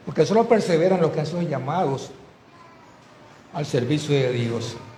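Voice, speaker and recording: The voice moves at a moderate pace. Audible room echo surrounds it. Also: man, fairly high pitch for a man, lively intonation. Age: 70s. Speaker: pastor. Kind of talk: sermon.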